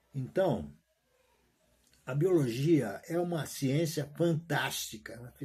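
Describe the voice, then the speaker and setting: At a very slow pace, a man with a fairly high pitch and a dark, mellow tone speaks somewhat breathily, with big swings in loudness and ordinary pitch variation. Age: 70s. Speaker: retired teacher vlogger. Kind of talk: casual monologue vlog. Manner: halting, repetitive.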